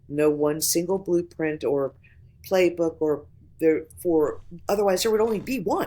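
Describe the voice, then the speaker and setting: A woman speaks with an American accent. Her voice is fairly low, with a dark, mellow tone. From Florida, US South. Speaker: voice actor. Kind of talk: casual podcast conversation. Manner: animated.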